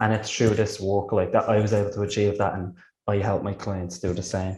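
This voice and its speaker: This man's voice is somewhat breathy. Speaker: energy healing practitioner. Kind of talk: interview.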